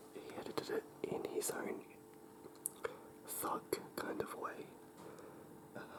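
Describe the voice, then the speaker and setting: Whispering at a fairly slow pace with long, frequent pauses, a man is heard against noticeable background noise. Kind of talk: ASMR whisper video, casual talk to camera. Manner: whispered, soft-spoken.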